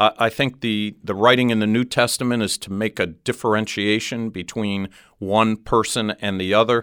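In an American accent, a man with a fairly low pitch talks in a plain, everyday voice at a moderate pace, his intonation fairly even and the sound dry and close with no echo. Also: very clean recording, silent background. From Cleveland, US Midwest. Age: 60s. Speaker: ministry director. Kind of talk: interview. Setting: studio.

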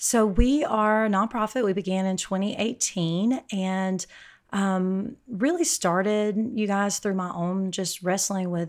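This is a woman with an ordinary speaking voice, pitched at a medium level with ordinary variation. The recording is very clean, the background silent. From Alabama, US South. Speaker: ministry leader and author. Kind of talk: casual interview.

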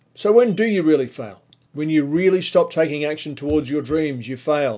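A man's fairly high voice with an Australian accent. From Australia (Melbourne). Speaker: motivational podcast host. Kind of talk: motivational monologue. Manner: animated.

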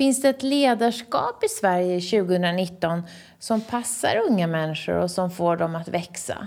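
An unremarkable speaking voice moves at a fairly slow pace, its intonation lively. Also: woman, medium pitch for a woman. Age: 50s. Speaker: podcast host. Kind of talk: interview.

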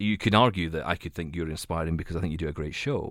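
A man with a Scottish accent speaks at a very fast pace in a very deep, low voice. The recording is very clean, with a silent background. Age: 30s. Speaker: radio and tech podcast host, blind. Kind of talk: interview.

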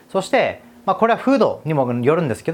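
The man's pitch swings very widely as he speaks. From Okinawa, Japan. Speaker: YouTuber giving study advice. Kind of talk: video monologue. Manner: casual with many fillers.

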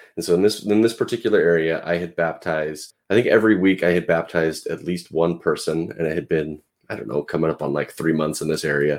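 With ordinary pitch variation, this voice carries an American accent. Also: man. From US Pacific Northwest. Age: 30s. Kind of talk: casual interview.

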